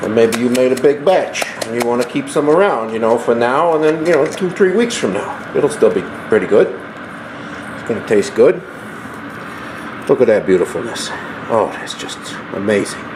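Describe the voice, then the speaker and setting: Amid noticeable background noise, a man keeps a moderate pace broken by long, frequent pauses. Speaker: home cooking channel host. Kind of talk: cooking tutorial. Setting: home kitchen at night. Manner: casual, folksy; quiet, hushed.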